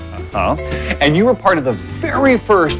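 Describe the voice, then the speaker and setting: A man speaks at a fairly quick pace with music in the background. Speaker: TV host. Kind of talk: TV segment host presentation.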